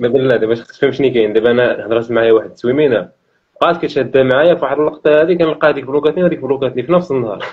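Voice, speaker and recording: A man's medium-pitched voice at a very fast pace, with very even loudness, hardly any pauses and ordinary pitch variation. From Tangier, Morocco. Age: young. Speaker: shop storekeeper. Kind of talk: casual street interview answer. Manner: humorous, outgoing.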